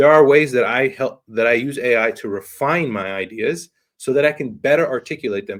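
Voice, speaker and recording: The recording is very clean, with a silent background. On it, a man talks at a medium pitch. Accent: non-native. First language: not English. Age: young. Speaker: podcast host. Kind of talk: interview conversation.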